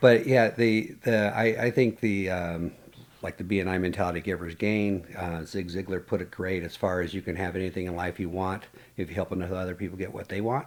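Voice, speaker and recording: This man talks fairly quickly with a very deep, low pitch and fairly even intonation. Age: 60s. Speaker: health coach. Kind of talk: casual chat.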